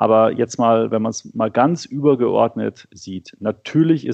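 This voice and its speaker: Medium-pitched male speech with ordinary pitch variation. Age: 40s. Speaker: financial magazine publisher. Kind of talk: interview. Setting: remote call from home office. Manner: hesitant, many filler sounds.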